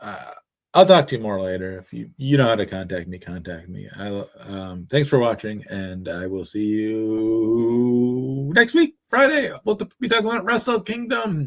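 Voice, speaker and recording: Mumbling at a moderate pace, a man speaks with big swings in loudness. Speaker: wrestling commentator. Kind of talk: live stream casual talk. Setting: live stream. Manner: hesitant, stammering.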